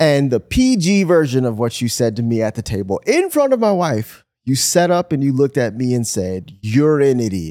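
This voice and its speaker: A man with an American accent, medium pitch and a dark, mellow tone, very wide pitch swings at a moderate pace, in a very clean recording with a silent background. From Michigan. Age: 30s. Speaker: pastor. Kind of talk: casual chat.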